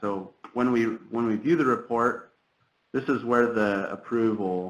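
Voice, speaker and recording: A man with an unremarkable speaking voice, fairly even intonation and a moderate pace. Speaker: government trainer. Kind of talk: software tutorial.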